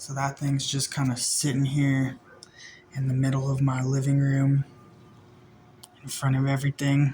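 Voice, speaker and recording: Pausing long and often, a man with a fairly high pitch speaks at a moderate pace in a monotone, flat intonation. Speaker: vlogger. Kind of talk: casual vlog talk. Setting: indoors in apartment.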